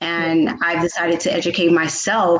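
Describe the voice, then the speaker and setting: This woman has an ordinary speaking voice, fairly low in pitch, and talks at a fairly slow pace. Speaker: talk show host. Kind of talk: talk show hosting.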